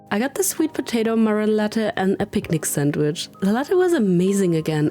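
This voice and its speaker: Amid noticeable background noise, a woman at medium pitch talks at a fairly quick pace, her voice making very wide pitch swings. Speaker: travel vlogger. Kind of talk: vlog narration.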